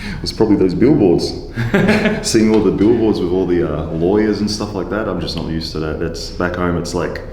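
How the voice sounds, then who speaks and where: A man with an Australian accent talks at a fairly quick pace with ordinary pitch variation, amid noticeable background noise and audible room echo. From Australia, Queensland, Gold Coast. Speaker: professional wrestler, former rugby player. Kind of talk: casual chat.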